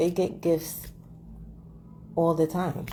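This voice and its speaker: This woman has a very deep, low pitch with a dark, mellow tone. Her voice carries vocal fry. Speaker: vlogger. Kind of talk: casual monologue.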